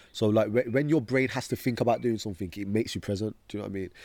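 A man's fairly low, dark, mellow voice with a Birmingham accent and ordinary pitch variation, on a very clean recording with a silent background. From Birmingham, England. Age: 20s. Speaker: motivational speaker. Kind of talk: casual interview.

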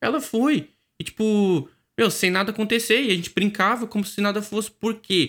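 On a very clean recording with a silent background, a man speaks in a high pitch with a Brazilian accent. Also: ordinary pitch variation, moderate pace. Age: 20s. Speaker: podcast co-host. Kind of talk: casual chat.

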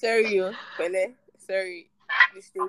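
The woman's tone is fairly bright, her pitch medium. Her pitch varies in an ordinary way. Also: fairly slow pace.

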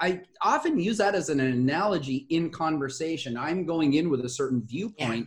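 A fairly high-pitched man with a Southern Californian accent, moderate pace and ordinary pitch variation. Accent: Southern California American. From US West Coast, Los Angeles area. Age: 50s. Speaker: communication facilitator and speaker. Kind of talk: casual interview chat. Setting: video call.

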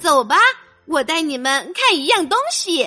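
Over faint background music, a woman uses a put-on character voice at a high pitch with big pitch swings. Her tone is bright and sharp, and her pace is fairly slow.

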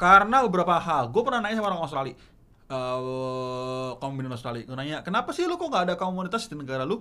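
Very fast and with very wide pitch swings, a man talks in a fairly high, bright and sharp voice. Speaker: stand-up comedian. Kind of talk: casual chat.

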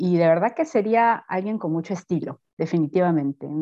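Fairly low in pitch, a woman has an ordinary speaking voice with ordinary pitch variation. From Peru, Piura (northern coast). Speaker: university researcher in botany. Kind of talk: interview.

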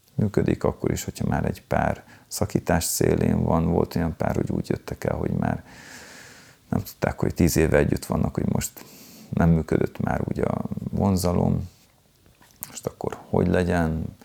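A man with a very deep, low pitch talks at a moderate pace, leaving long, frequent pauses, his intonation fairly even over noticeable background noise. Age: 50s. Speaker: tantra workshop leader. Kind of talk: interview. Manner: halting, many repeated words.

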